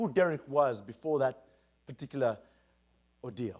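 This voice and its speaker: On a very clean recording with a silent background, a man talks at a fairly quick pace in an animated tone. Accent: Ugandan. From Uganda. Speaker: keynote speaker. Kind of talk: keynote speech. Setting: stage with audience. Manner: animated storytelling.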